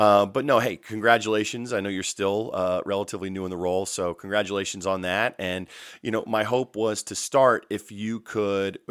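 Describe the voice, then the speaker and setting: A man with a plain, everyday voice speaks at a moderate pace and a fairly low pitch. His intonation is fairly even, and the recording is very clean with a silent background. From North Carolina, US. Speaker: podcast host. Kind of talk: interview.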